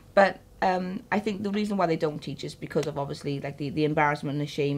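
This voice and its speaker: Speaking at a very fast pace in a South Wales Valleys accent, a woman uses ordinary pitch variation. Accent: Welsh valleys. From Wales, Caerphilly valleys. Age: 30s. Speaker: interviewee, mother. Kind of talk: interview. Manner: halting.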